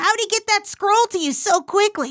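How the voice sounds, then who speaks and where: In a cartoonish character voice, a woman speaks squeaky and at an extremely high pitch, at a moderate pace with ordinary pitch variation, in a dry, close sound with no echo. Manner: sarcastic, cocky.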